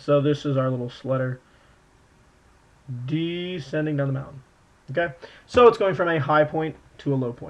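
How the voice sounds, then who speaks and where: A man's fairly high voice with ordinary pitch variation. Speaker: math teacher. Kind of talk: tutorial. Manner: fast.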